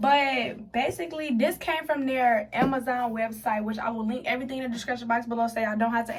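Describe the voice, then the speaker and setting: Heard with audible room echo and noticeable background noise, a woman speaks in a fairly high pitch. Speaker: beauty vlogger. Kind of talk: casual tutorial vlog. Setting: bathroom. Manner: fast; animated.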